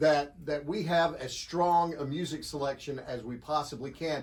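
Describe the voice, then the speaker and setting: A plain, everyday voice from a man, fairly high in pitch, at a moderate pace. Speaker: radio show co-host. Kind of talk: casual phone interview answer.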